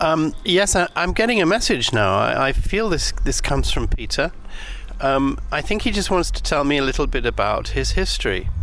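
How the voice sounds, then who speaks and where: Amid noticeable background noise and audible room echo, a man with an English accent keeps his loudness very even. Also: moderate pace. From England. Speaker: podcast host, medium. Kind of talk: walking monologue. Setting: outdoors in a graveyard. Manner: halting, many fillers.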